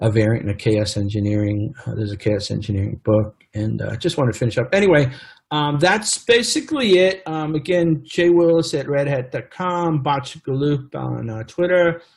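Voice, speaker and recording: A man with a fairly high, somewhat breathy voice makes very wide pitch swings and hardly any pauses. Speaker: tech executive and conference speaker. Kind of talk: conference presentation. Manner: fast; halting, many fillers.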